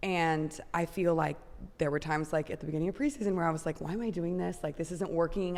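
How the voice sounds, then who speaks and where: A woman with an American accent has a plain, everyday voice. Her pitch is fairly low and her intonation fairly even. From US Midwest, Chicago. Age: 30s. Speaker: professional soccer player. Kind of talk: podcast interview.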